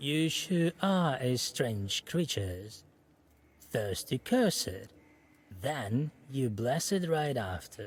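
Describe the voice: A man uses a creaky, put-on character voice at medium pitch. He talks at a very slow pace.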